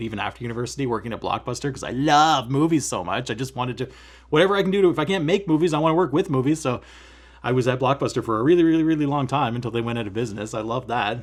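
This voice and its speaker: A man's animated tone with lively intonation at a very fast pace. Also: very clean recording, silent background. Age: 30s. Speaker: cross-stitch vlogger. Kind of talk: casual vlog chat.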